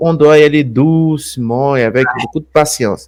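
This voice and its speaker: Someone with a Brazilian accent speaks at a very slow pace. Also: man. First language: Portuguese (speaking French). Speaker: channel host, alternative history presenter. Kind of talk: live stream chat. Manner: repetitive, halting phrasing.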